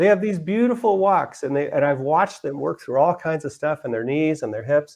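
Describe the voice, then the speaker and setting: The pitch swings very widely. The pace is moderate. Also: man. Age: 60s. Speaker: yoga instructor. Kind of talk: demonstration talk. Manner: halting.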